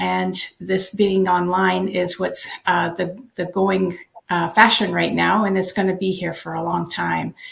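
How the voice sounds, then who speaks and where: Here a woman speaks at a fairly slow pace. She has a Canadian accent. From Canada, Toronto. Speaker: digital business owner. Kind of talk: casual introduction on live video session.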